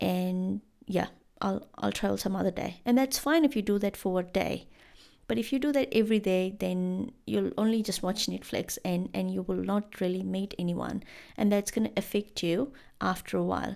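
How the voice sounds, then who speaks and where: In a very clean recording over a silent background, a woman speaks at a moderate pace. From India. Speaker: podcast host. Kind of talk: solo podcast monologue. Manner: casual, conversational with fillers.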